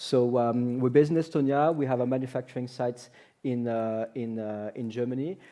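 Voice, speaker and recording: A man talks at a fairly quick pace. His medium pitch holds fairly even intonation. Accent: strong French. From France. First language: French. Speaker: company representative. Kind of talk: panel discussion.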